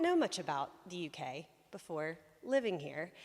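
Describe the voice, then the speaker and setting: On a very clean recording with a silent background, a woman speaks with a Southern US accent. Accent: American Southern. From US South, South Carolina. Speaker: lay preacher. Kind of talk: sermon. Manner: conversational with many fillers.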